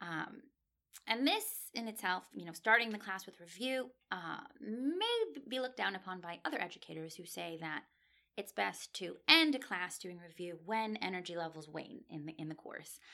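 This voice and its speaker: A woman at medium pitch with an American accent, lively intonation, a bright, sharp tone and big swings in loudness. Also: moderate pace. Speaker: PhD student and language instructor. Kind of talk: interview. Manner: frequent fillers.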